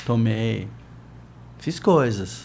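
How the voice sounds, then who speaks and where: A man speaks with audible room echo. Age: 60s. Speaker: surfer and surf educator. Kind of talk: interview conversation. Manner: animated.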